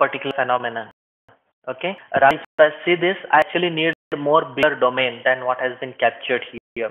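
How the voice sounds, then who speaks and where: Fairly high in pitch, a man talks at a fairly quick pace with fairly even intonation. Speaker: software trainer. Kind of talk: lecture. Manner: fast; halting.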